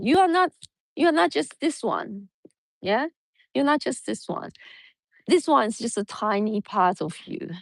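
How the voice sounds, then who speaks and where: A woman with a Mandarin accent, fairly high-pitched, with very wide pitch swings, a fairly slow pace and long, frequent pauses, in a dry, close sound with no echo against a quiet background. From Taiwan. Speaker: yoga teacher. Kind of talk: spiritual talk. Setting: outdoors. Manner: halting.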